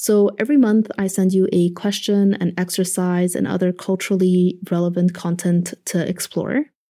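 In a very clean recording with a silent background, a woman speaks at a medium pitch with a dark, mellow tone, fairly even intonation, and very even loudness. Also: moderate pace. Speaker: podcast host and producer. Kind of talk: scripted narration. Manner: stutters when nervous.

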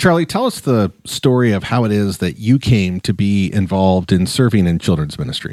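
A plain, everyday voice from a man, fairly low in pitch, with lively intonation, a fairly quick pace and hardly any pauses. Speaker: pastor. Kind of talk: casual chat.

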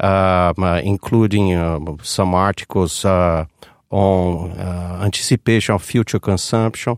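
With a Portuguese accent, a man speaks at a fairly slow pace with fairly even intonation. The recording is very clean with a silent background and a dry, close sound with no echo. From Brazil. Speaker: economics professor. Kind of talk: interview. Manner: halting, many fillers.

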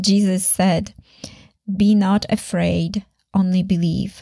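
A somewhat breathy woman with a Polish accent talks at a fairly slow pace in a dark, mellow tone with monotone, flat intonation. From Poland, Sopot near Gdańsk. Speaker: faith podcaster and musician. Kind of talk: personal testimony monologue.

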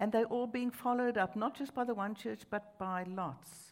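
A woman with a South African accent at a fairly slow pace. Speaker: preacher. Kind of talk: sermon. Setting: church with large crowd.

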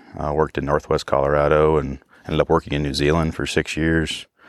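Dry and close with no echo, a man with an American accent talks very fast in a very deep, low voice with vocal fry and monotone, flat intonation. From northern New York, US. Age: 40s. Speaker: hunting outfitter and guide. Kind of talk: interview. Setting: outdoors in the mountains.

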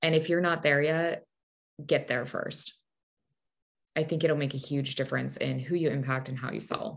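A woman with a very deep, low pitch and vocal fry speaks at a moderate pace, taking long, frequent pauses. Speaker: memoir author. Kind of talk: casual chat, interview. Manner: sarcastic, conversational.

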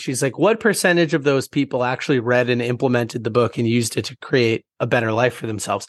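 Heard in a dry, close sound with no echo and a quiet background, a man with an ordinary speaking voice at a medium pitch talks at a fairly quick pace. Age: 20s. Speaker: entrepreneur and author. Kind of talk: casual chat.

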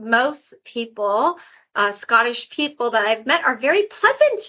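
Against a quiet background, a woman uses a raised, projected voice with very wide pitch swings, at a fairly slow pace. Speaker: podcast host. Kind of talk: interview.

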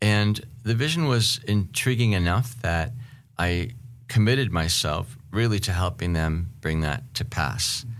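In a normal speaking voice with an American accent, a man talks at a fairly slow pace with a fairly low pitch and lively intonation. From Seattle, US Pacific Northwest. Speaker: podcast host and professor. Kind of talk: casual interview conversation.

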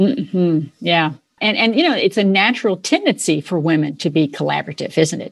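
Her pitch is fairly low, and her intonation is lively. This woman talks at a fairly quick pace with vocal fry. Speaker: podcast host. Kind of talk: interview, polished host intro.

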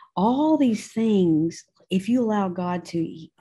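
A woman with a dark, mellow tone and a slightly husky edge talks at a slow pace. Her intonation is lively. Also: medium pitch for a woman.

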